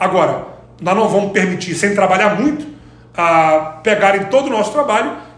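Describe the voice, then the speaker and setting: A man with a high pitch and lively intonation talks at a fairly quick pace amid audible room echo and noticeable background noise. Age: 40s. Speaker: sports marketing executive. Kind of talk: interview.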